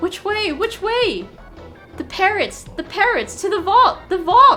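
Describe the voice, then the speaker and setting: A shrill, put-on character voice at an extremely high pitch, raised and projected, with clear music in the background. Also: fairly slow pace. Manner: frantic, repetitive.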